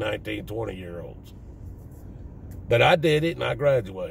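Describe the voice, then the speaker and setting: Moderately paced speech from a man with a Southern US accent. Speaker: vlogger. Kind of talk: casual monologue.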